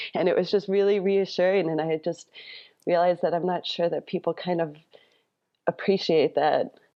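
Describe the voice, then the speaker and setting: A woman with an American accent speaks at a moderate pace and a fairly low pitch. Her intonation is monotone and flat, with long, frequent pauses. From Wisconsin, Waupaca County. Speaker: farmer. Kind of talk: casual chat.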